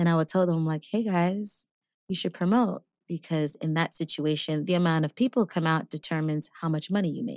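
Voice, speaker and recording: A normal speaking voice from a woman with an American accent, fairly low in pitch with ordinary pitch variation, dry and close with no echo, on a very clean recording with a silent background. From New York City. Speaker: singer and voice teacher. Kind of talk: casual chat.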